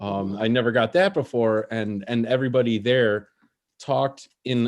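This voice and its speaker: Here a man speaks with a Chicago accent. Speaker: open mic comedy host. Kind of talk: casual stand-up banter. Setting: online video stream with audience on mute. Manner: halting, many repeated fillers.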